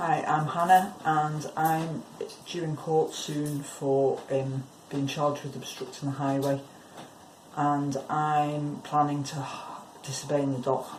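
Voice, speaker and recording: A woman with a very deep, low pitch speaks at a very slow pace in a monotone, flat intonation, with audible room echo and noticeable background noise. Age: 50s. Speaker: climate activist. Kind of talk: protest statement in court, live stream. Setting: courtroom, self-recorded live stream.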